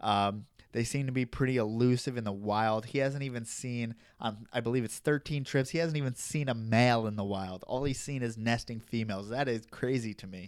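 A man speaks at a fairly quick pace in an ordinary speaking voice. The recording is very clean, with a silent background. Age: 20s. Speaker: reptile podcast host. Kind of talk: casual solo podcast monologue. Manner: casual with frequent fillers.

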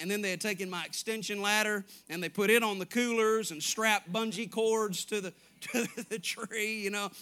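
On a very clean recording with a silent background, a man with a Southern US accent projects a raised, high-pitched voice with a bright, sharp tone at a moderate pace. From Arkansas. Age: 30s. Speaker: evangelist preacher. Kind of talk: sermon. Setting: church. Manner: animated.

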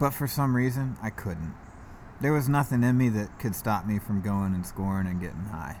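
With lively intonation and a moderate pace, a man uses an ordinary speaking voice pitched fairly low. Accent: American. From US South, Georgia (East Cobb, Marietta). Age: 30s. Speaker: recovering addict sharing his story. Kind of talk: casual interview, recovery testimony.

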